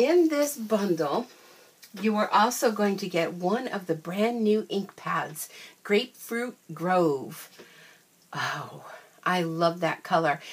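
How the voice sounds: With a slightly husky edge, a woman speaks slowly at a fairly low pitch and with lively intonation.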